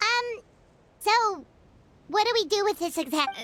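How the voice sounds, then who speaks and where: A put-on character voice, squeaky and extremely high in pitch, moves along at a moderate pace. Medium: video game. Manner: casual, dry.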